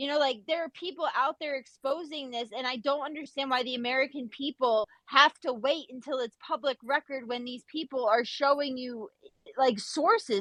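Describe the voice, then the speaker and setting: Animated delivery at a moderate pace, with ordinary pitch variation and a dry, close sound free of echo. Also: woman. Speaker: Twitter Space participant. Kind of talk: heated debate.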